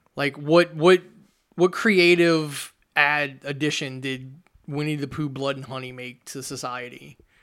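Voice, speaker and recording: A man with an American accent talks at a fairly slow pace in a normal speaking voice, with fairly even intonation and big swings in loudness, on a very clean recording with a silent background. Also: fairly high pitch for a man. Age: 40s. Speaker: podcast host. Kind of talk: casual chat.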